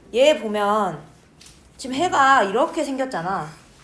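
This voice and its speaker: The room's echo is audible around the woman's voice. Her intonation is lively. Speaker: math teacher. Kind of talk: lecture. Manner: fast.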